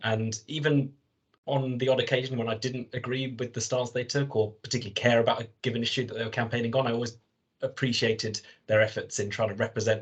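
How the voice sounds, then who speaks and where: A man talks very fast in a London accent, somewhat breathy. His pitch is medium and his intonation monotone and flat. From North London. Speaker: football supporters' trust board member. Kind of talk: podcast interview.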